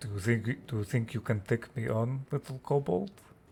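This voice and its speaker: Using a put-on character voice, a man speaks breathily at a medium pitch and a moderate pace. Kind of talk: higher pitch.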